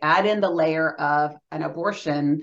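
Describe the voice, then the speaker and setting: An ordinary speaking voice belongs to this woman, who has fairly low pitch and ordinary pitch variation. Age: 40s. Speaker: abortion survivor and pro-life advocate. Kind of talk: testimony.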